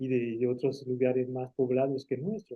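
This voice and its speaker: With a French accent, a man talks at a moderate pace. His pitch runs fairly high. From France, rural Auvergne town, Spanish-speaking refugee parents. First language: French (speaking Spanish). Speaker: engineer and writer. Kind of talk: interview. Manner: halting.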